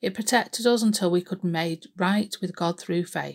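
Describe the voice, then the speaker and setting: A woman's unremarkable speaking voice at a medium pitch and a moderate pace, with ordinary pitch variation, in a very clean recording with a silent background. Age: 50s. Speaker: church devotional speaker. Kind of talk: devotional talk.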